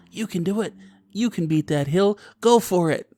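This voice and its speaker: At a moderate pace, a man speaks in a put-on character voice pitched high. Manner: cheerful, encouraging.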